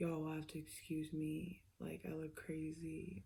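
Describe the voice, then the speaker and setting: A woman speaks at a moderate pace with vocal fry and a very deep, low pitch. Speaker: tarot reader. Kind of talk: casual chat. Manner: halting, many fillers.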